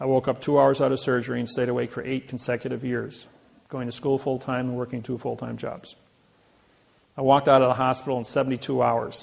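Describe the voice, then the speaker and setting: A man with a Midwestern American accent speaks at a very fast pace. His medium-pitched voice stays monotone and flat. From US Midwest, Indiana. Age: 60s. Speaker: seminar lecturer. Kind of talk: lecture; personal story.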